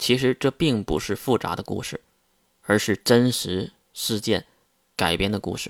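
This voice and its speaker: On a very clean recording with a silent background and a dry, close sound with no echo, a man speaks fairly slowly with long, frequent pauses. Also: medium pitch for a man, ordinary pitch variation. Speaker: novel podcaster. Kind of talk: storytelling monologue. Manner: unedited single take.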